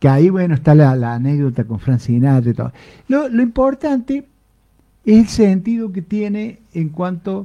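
Speaking at a fairly slow pace, a man has a high pitch, a dark, mellow tone and very wide pitch swings. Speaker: radio host. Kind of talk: casual chat.

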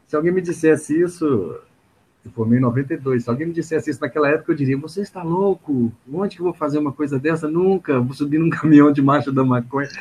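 Talking at a very fast pace, a man sounds somewhat breathy while his pitch varies in an ordinary way. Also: fairly high pitch for a man. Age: 50s. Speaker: psychologist and activist. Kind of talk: interview. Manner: hesitant, many fillers.

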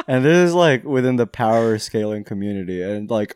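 In an ordinary speaking voice, a man talks at a fairly quick clip with medium pitch and lively intonation on a very clean recording with a silent background. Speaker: podcast co-host. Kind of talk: casual chat. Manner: casual, joking, swears often.

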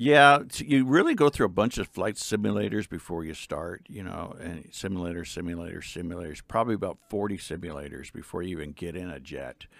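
On a very clean recording with a silent background, a man with an American accent speaks at a fairly quick pace with hardly any pauses. His very deep, low voice carries vocal fry, lively intonation and big swings in loudness. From US Southwest, Phoenix, Arizona. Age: 60s. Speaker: retired fighter pilot and political candidate. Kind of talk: interview.

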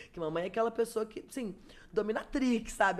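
Very wide pitch swings and vocal fry both mark a woman's speech. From Espírito Santo, Brazil (Vitória). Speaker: digital influencer and makeup artist. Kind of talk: casual interview chat.

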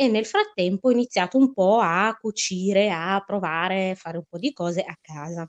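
Speaking at a moderate pace with hardly any pauses, a woman at medium pitch shows big swings in loudness, in a dry, close sound with no echo. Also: ordinary pitch variation. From northern Italy. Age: 20s. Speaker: fashion designer. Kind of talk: interview. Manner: halting.

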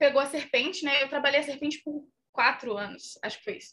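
A woman's voice sits high in pitch, bright and sharp in tone. She speaks in a raised, projected voice. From Minas Gerais, Brazil. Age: 20s. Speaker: actress and content creator. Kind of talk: casual chat.

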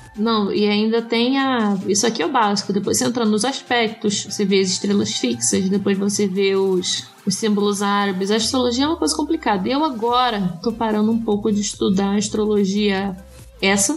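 A woman at medium pitch and a moderate pace, ordinary pitch variation, very even loudness, noticeable background noise. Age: 20s. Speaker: astrologer and podcast co-host. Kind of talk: casual chat.

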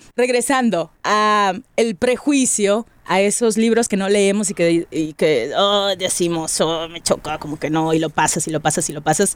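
A woman speaks in a normal speaking voice, at medium pitch with ordinary pitch variation. She goes at a fairly slow pace with hardly any pauses. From Mexico, Monterrey. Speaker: podcast host, radio presenter. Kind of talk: casual chat.

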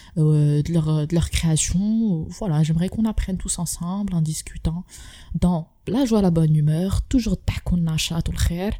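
Somewhat breathy and dark, mellow in tone, the voice moves at a fairly slow pace with ordinary pitch variation. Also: woman, fairly low pitch for a woman. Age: 20s. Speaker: podcast host. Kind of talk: casual interview.

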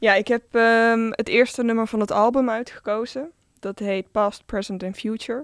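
A woman with a fairly high pitch speaks in an unremarkable speaking voice at a moderate pace. Her intonation is fairly even, on a very clean recording with a silent background. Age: 20s. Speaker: DJ. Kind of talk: casual interview.

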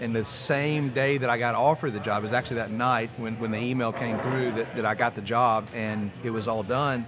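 There is noticeable background noise as a man with an American accent speaks with hardly any pauses. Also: medium pitch for a man, fairly even intonation. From US South, north Louisiana. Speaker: entrepreneur. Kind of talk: casual chat.

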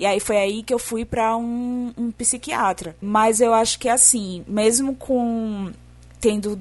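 A woman with a somewhat breathy, fairly high voice speaks at a fairly slow pace. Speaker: podcast guest.

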